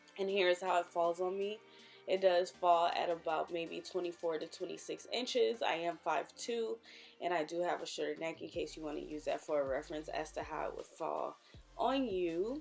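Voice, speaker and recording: Music sounds in the background. The woman talks at a moderate pace. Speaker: beauty vlogger. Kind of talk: product review. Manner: slightly impaired articulation.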